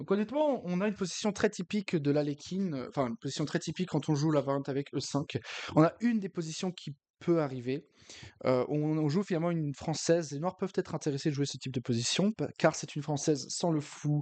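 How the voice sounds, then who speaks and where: Fairly quick delivery in a dark, mellow tone, the sound dry and close with no echo. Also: man, fairly high pitch for a man, ordinary pitch variation, quiet background. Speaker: chess streamer. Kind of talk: live game commentary. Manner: hesitant, many filler sounds.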